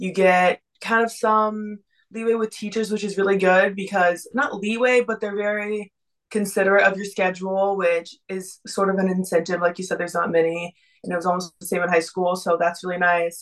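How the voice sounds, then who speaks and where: A plain, everyday voice with an American accent, a fairly quick pace and fairly even intonation. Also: woman, medium pitch for a woman. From Texas. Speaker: college swimmer. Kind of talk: casual interview.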